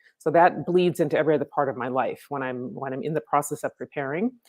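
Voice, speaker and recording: The voice is a woman's, very deep and low in pitch. It rises and falls in an ordinary way. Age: 60s. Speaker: pageant contestant, professional speaker and author. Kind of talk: interview.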